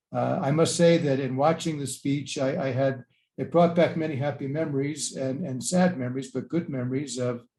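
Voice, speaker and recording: A man speaks with a fairly high pitch and a dark, mellow tone that is somewhat breathy. His pace is moderate and his intonation fairly even. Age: 70s. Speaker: archbishop. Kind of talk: lecture.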